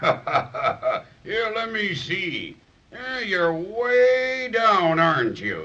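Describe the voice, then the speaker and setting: This man uses a put-on character voice, high-pitched for a man. He speaks at a very slow pace. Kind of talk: 1930s children's radio acting. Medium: old radio play. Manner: gentle, warm, slightly hesitant.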